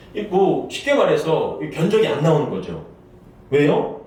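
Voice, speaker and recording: A man talks at a moderate pace while noticeable background noise and audible room echo surround him. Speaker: pastor. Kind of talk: sermon.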